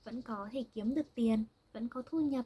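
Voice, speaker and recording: Speaking fairly slowly, a woman uses a fairly high pitch with ordinary pitch variation. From Vietnam. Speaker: language teacher. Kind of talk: language-learning monologue. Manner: slow and clear, with fillers.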